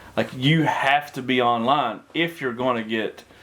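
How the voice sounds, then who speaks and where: Over noticeable background noise, a man at medium pitch talks at a fairly slow pace with ordinary pitch variation. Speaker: auctioneer and realtor. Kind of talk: business talk show host. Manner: casual, upbeat.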